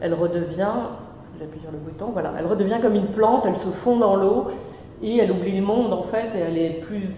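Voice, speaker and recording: A woman with a medium pitch and ordinary pitch variation speaks amid audible room echo and noticeable background noise. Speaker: artist and sculptor. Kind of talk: talk at a seminar. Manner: hesitant, many fillers.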